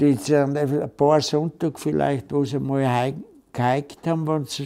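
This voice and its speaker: A man speaks at a very slow pace. His pitch sits fairly high. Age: 80s+. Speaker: elderly storyteller recalling childhood. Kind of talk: casual reminiscence, oral history interview. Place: home room.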